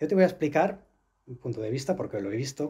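Against a quiet background, a man with a medium pitch speaks in a dark, mellow tone that is somewhat breathy. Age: 40s. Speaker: astral travel instructor and author; astral travel instructor. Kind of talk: interview. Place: studio.

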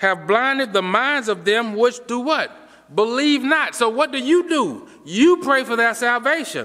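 Over a quiet background, a man raises and projects his extremely high, bright, sharp voice at a fairly slow pace with lively intonation. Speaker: preacher. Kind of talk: sermon. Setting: church. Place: church. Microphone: podium.

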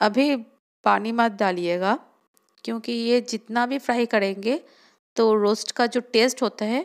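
Her pitch fairly high, a woman talks with pitch that varies in an ordinary way. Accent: non-native. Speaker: home cook food vlogger. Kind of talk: cooking tutorial voice-over.

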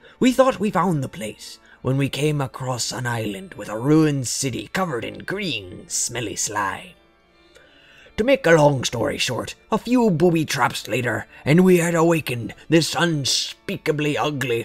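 Using a put-on character voice, a man speaks fairly high with very wide pitch swings at a moderate pace, faint music playing in the background. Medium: read story. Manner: gruff, boastful yarn-spinning.

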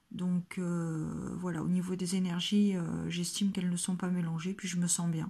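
A woman's dark, mellow, somewhat breathy voice, monotone and flat in intonation, at a fairly slow pace against a quiet background. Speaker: home vlogger. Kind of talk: casual vlog chat. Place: home room.

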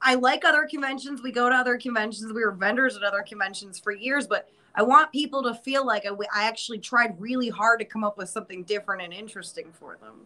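This woman speaks very fast with an American accent and fairly high pitch. Her loudness swings widely, while her pitch varies in an ordinary way. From upstate New York. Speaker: horror museum co-owner; guest. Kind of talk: casual chat. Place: office. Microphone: video call.

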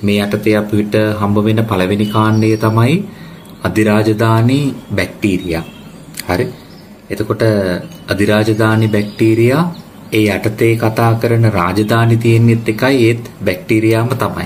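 Over noticeable background noise and audible room echo, a man with a fairly low pitch speaks at a very slow pace, his intonation fairly even and his loudness very even. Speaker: biology teacher. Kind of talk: lecture.

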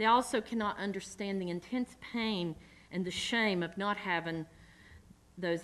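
With a Southern US accent, a woman speaks at a moderate pace with ordinary pitch variation. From US South. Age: 40s. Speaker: community organizer. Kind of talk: lecture. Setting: stage with audience. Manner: halting. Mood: earnest, personal. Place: hall. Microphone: podium.

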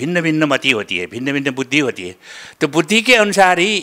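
At a moderate pace, a man with fairly high pitch speaks in a bright, sharp tone with lively intonation over a quiet background. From Nepal. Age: 70s. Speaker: retired school inspector and Sanskrit scholar. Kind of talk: interview testimony. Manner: halting. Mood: calm, earnest. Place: studio. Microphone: handheld.

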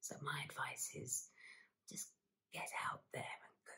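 Whispering in a warm, gentle tone, a woman with a London accent speaks at a very slow pace. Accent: British (London). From London, UK. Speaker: actress and singer, ASMR creator. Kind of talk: soft-spoken ASMR talk to camera, personal storytelling. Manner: soft-spoken, warm, positive, gentle.

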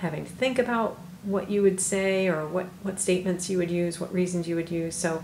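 A woman speaks with a fairly low pitch. Room echo is audible, along with light background noise. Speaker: math teacher. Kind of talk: tutorial. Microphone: phone near.

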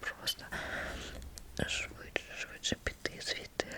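Someone whispers at a very slow pace. Background noise is noticeable. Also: woman. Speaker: massage therapist. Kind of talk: ASMR whispered chat. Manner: whispered.

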